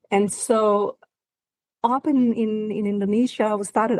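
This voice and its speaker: Heard here is a woman with a Danish accent. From Denmark. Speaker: marine scientist. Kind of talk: interview. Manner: halting.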